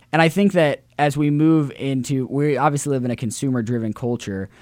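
Speaking with a Midwestern American accent, a man holds a medium pitch and fairly even intonation. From US Midwest, Central Illinois. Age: young. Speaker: college student and charity organizer. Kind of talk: interview.

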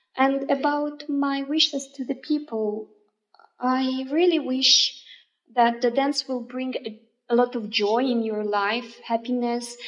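A woman's very slow, high-pitched speech with a non-native accent and fairly even intonation. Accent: non-native English, self-described imperfect. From Russia. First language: Russian. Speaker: oriental dance artist and teacher. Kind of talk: interview. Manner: halting.

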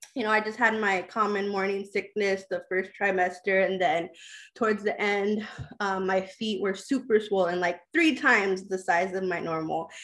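In a normal speaking voice, a woman talks at a moderate pace with medium pitch and fairly even intonation. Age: 30s. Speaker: mother sharing her birth story, aspiring midwife. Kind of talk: personal testimony in an interview.

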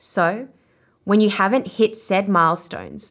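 Recorded very cleanly against a silent background, a woman with an Australian accent speaks at a fairly slow pace, her medium pitch held in fairly even intonation. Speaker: podcast host, life coach and author. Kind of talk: podcast episode with audiobook excerpt reading.

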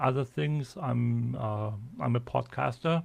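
A man is speaking. He has a German accent. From German-speaking Europe. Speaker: podcaster and add-on expert. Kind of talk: casual chat. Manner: halting, repeats words.

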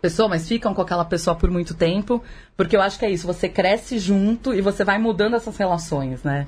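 Somewhat breathy, a woman speaks at a fairly quick pace. Her medium pitch shows ordinary variation. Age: 40s. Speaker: podcast guest, mother of three teenagers. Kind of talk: casual chat.

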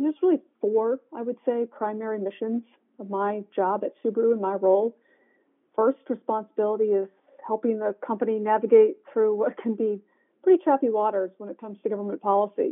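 Speaking at a fairly quick pace, a woman with an American accent and a plain, everyday voice has fairly high pitch, ordinary pitch variation and big swings in loudness. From Michigan. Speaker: corporate government affairs executive. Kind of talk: interview.

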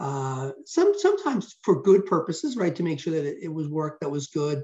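Pitched high, a man's voice moves at a moderate pace. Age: 50s. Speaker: rock musician and bassist. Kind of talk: interview conversation.

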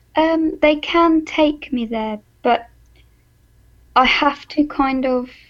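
In an English accent, a woman speaks with ordinary pitch variation against a quiet background. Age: 20s. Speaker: patient sharing story. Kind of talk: interview. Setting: phone call.

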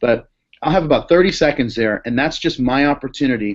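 With an American accent, a man speaks at a fairly quick pace with ordinary pitch variation and an unremarkable speaking voice over a quiet background. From Boston. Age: 30s. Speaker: pastor. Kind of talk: interview.

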